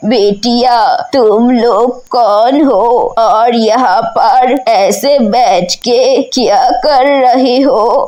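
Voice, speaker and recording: A cartoonish character voice with lively intonation and very even loudness, at a very slow pace with hardly any pauses, over light background noise. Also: woman, high pitch for a woman. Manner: gentle, motherly.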